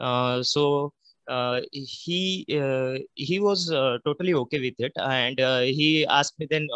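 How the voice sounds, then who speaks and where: Over a quiet background, a man speaks with fairly even intonation and a bright, sharp tone, the sound dry with no echo. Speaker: candidate. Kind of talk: interview answer. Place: home room. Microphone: video call.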